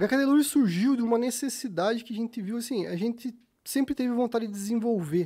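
A man with a Rio Grande do Sul accent, at a fairly quick pace, with lively intonation. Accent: gaúcho (Rio Grande do Sul). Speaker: fisheries engineer and fishing lure business owner. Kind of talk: casual interview chat. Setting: studio.

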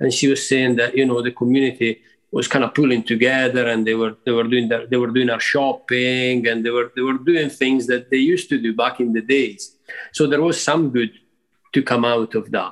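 A man's medium-pitched voice with an Italian accent, very even in loudness, fairly even in intonation, at a moderate pace. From Italy, rural area outside Milan. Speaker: musician. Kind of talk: interview. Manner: halting.

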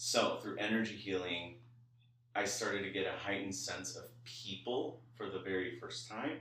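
With audible room echo, a man with an American accent speaks at a moderate pace. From Los Angeles (Koreatown). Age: 20s. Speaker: psychic medium. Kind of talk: spiritual reading.

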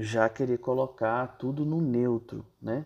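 A man speaks fairly slowly with a quiet background behind him. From Brazil, Brasília. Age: 30s. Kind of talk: casual talk on gender and parenting. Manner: hesitant, many fillers.

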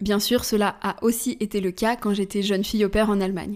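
On a very clean recording with a silent background, a woman with a fairly high pitch talks at a moderate pace in a normal speaking voice. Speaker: podcast host. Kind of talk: solo podcast monologue.

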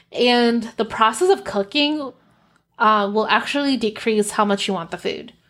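The speech unfolds at a moderate pace. It is a normal speaking voice, with ordinary pitch variation. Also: woman, fairly high pitch for a woman. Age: 30s. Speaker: podcast host and coach. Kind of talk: casual solo podcast monologue, personal storytelling. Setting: home office studio with ring light and camera. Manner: conversational, with frequent laughs.

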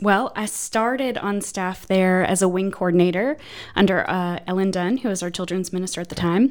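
A woman uses a normal speaking voice at medium pitch, with ordinary pitch variation and a moderate pace. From northeastern Pennsylvania, US. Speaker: church administrative assistant. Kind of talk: casual interview chat.

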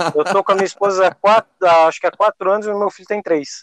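The voice belongs to a man. His sound comes across close and dry, free of any echo. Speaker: podcast host. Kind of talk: casual chat.

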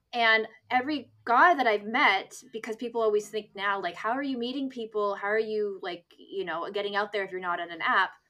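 In a Canadian accent, a woman talks at a fairly quick pace with a fairly high pitch and an ordinary speaking voice. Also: ordinary pitch variation. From Canada, near Toronto. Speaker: podcast host and dating writer. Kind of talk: casual chat. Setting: video call.

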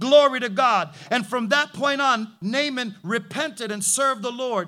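A man projects a raised, animated voice with a bright, sharp tone. His pitch sits high with ordinary variation, at a moderate pace. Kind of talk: sermon. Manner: vivid, punchy and rhythmic, with repeated short phrases.

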